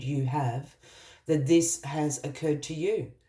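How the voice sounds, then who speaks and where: In an Australian accent, a somewhat breathy voice with a dark, mellow tone speaks at a fairly slow pace. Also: woman. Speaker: tarot reader. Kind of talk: tarot reading.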